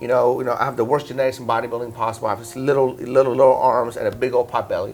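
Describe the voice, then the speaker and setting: Man speaking at a very fast pace in an animated tone, with big swings in loudness and music in the background. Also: medium pitch for a man. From Iran, then western Pennsylvania from age 11. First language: Persian. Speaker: fitness entrepreneur. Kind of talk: interview storytelling. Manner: animated, many fillers.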